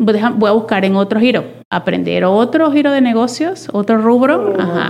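A woman with a plain, everyday voice speaks fairly slowly, her fairly high pitch carried by lively intonation. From Venezuela. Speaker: data and innovation professional. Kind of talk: interview conversation.

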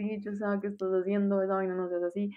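A woman is speaking. Her pitch is medium. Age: 20s. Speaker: medical student. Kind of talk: casual chat.

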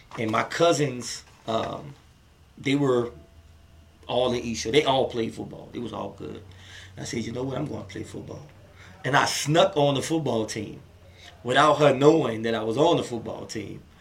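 The speaker has a New Orleans accent, a moderate pace and ordinary pitch variation, with long, frequent pauses. Loudness swings widely, and background noise is noticeable. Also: man. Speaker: comedian and filmmaker. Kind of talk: casual interview chat. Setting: in-person studio.

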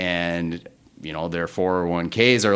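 The recording is very clean, with a silent background. On it, a man with a very deep, low pitch talks at a fairly slow pace. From North Dakota. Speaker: staffing sales director. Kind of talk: interview.

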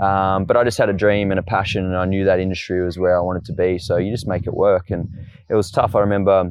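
A man with an Australian accent, very deep and low in pitch, very fast and flat in a monotone. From Tasmania, Australia (Launceston). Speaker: fitness and boxing coach. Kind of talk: casual interview. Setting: outdoors in a park.

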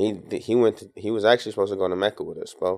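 With an American accent, a man uses an unremarkable speaking voice, fairly low in pitch, with fairly even intonation at a moderate pace. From Tacoma, Washington. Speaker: nasheed artist. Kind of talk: casual interview chat.

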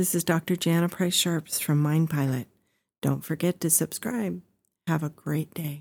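The recording is very clean, with a silent background. A woman with an unremarkable speaking voice talks at a fairly slow pace, her fairly low pitch kept in a fairly even intonation. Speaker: meditation guide. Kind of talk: guided meditation. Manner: slow, soothing, calm; repetitive, gentle, hypnotic cadence.

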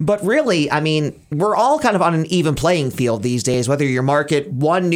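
A man speaks with an American accent at a moderate pace, his pitch fairly high with ordinary variation. It is an ordinary speaking voice. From Pennsylvania. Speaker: radio host. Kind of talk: casual chat.

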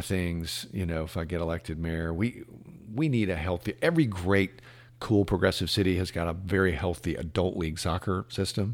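A man with a very deep, low pitch and an American accent, at a moderate pace with ordinary pitch variation, on a very clean recording with a silent background. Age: 50s. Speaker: car dealer and mayoral candidate. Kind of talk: casual interview.

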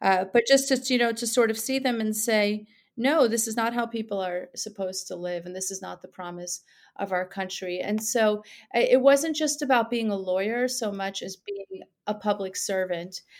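A woman with a New York accent speaks at a moderate pace, her pitch fairly high with ordinary variation and big swings in loudness. The recording is very clean, with a silent background. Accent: American, New York area. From Iran, raised in New York area from childhood. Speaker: political candidate, former prosecutor. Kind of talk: interview. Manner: hesitant, with fillers.

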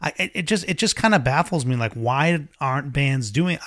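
This man has a normal speaking voice with an American accent, lively intonation and a moderate pace, on a very clean recording with a silent background. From Boston area, US. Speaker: podcast co-host, guitar hobbyist. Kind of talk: casual chat.

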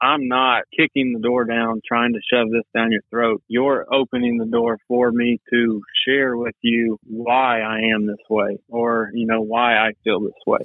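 A man with an East Texas accent talks at a fairly slow pace, with hardly any pauses. His intonation is flat and monotone. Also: medium pitch for a man. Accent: East Texas Southern US. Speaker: outdoor graphic designer. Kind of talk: casual interview chat.

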